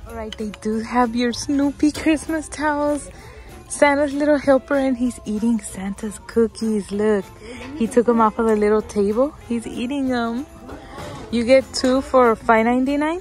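A woman's high voice, dry with no echo, over faint background music. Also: ordinary pitch variation. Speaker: shopping vlogger. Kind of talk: casual vlog chat. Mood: cheerful, excited. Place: shop. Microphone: phone near.

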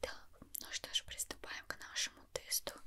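The voice is a woman's. Everything comes out as a whisper. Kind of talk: ASMR roleplay, soft-spoken instructions. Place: home room.

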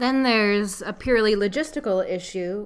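A woman's speech comes with noticeable noise in the background. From New York. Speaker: dog trainer. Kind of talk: advice podcast monologue. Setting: home loft recording. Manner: hesitant, many fillers.

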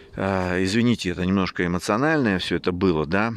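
A man speaks with a very deep, low pitch and ordinary pitch variation. The sound is dry, with no echo. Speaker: gardening channel host and seed seller; seed seller. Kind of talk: casual video talk to camera. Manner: halting, repeats words; emotional, animated. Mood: passionate, somewhat emotional. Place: garden. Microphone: phone near.

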